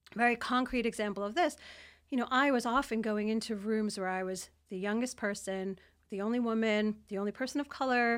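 A woman with a New York accent speaks at a fairly high pitch. The recording is very clean, with a silent background. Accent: New York American. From New York, US. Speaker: former intelligence analyst turned CEO. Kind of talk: interview. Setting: studio, in person.

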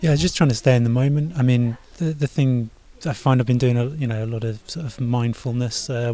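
Speaking with a southern English accent, a man uses a dark, mellow tone at medium pitch, a fairly quick pace, and fairly even intonation. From southern England (Farnham). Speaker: amateur triathlete, software engineer. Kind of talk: interview.

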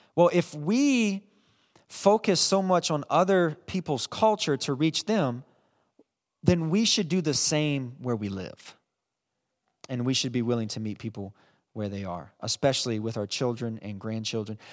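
At a fairly slow pace with long, frequent pauses, a man with a fairly high pitch moves through very wide pitch swings on a very clean recording with a silent background. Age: 30s. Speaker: pastor. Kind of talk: sermon.

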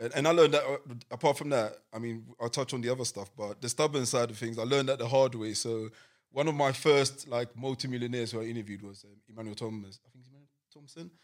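In a London accent, a man of medium pitch speaks at a very fast pace with ordinary pitch variation and big swings in loudness. The recording is very clean, with a silent background. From East London, England. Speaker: podcast host. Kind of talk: casual chat.

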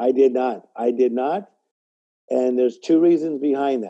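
Speaking with an American accent, a man has a dark, mellow tone and ordinary pitch variation. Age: 50s. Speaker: life coach and motivational speaker. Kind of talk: casual chat.

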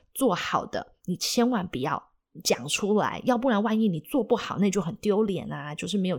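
On a very clean recording with a silent background, a woman with an ordinary speaking voice talks at a fairly quick pace with lively intonation. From Taiwan, Taipei. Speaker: podcast host. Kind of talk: casual interview.

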